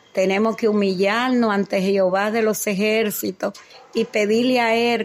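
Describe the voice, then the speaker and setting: A woman at a fairly slow pace, with monotone, flat intonation. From Dominican Republic. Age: 70s. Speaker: cardiologist. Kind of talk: testimony. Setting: at her home.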